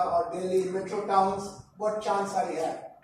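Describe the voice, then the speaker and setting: Audible room echo surrounds the voice. The intonation is monotone and flat. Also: man. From India. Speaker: professor. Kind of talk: lecture. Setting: college talk to students.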